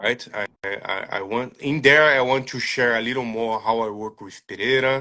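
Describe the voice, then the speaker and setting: Speaking with hardly any pauses, a man with a non-native accent has a medium pitch, a bright, sharp tone and fairly even intonation. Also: moderate pace, big swings in loudness. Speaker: striking coach. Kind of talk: interview. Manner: halting.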